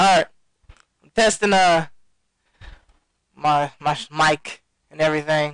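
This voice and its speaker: Dry and close with no echo, a man's fairly high voice moves at a fairly slow pace with long, frequent pauses. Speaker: gaming commentator streamer. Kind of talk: live gameplay commentary. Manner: loud; animated.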